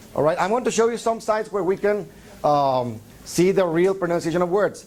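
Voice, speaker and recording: A man's high-pitched voice with a Spanish accent, at a fairly quick pace. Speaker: English teacher trainer. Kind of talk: lecture. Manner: halting, many fillers.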